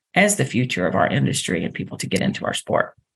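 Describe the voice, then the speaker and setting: A woman with a Texan accent at a fairly quick pace. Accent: Texan American. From Texas, Dallas. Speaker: internship program coordinator. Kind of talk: interview.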